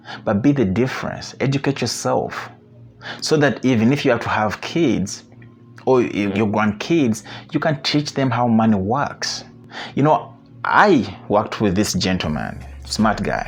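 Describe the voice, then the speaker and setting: Lively intonation at a fairly slow pace, with faint music in the background. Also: man. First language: not English. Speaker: investing video creator. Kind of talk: casual talk to camera; casual advice talk to camera. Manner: hesitant, many filler sounds. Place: home room. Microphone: lapel.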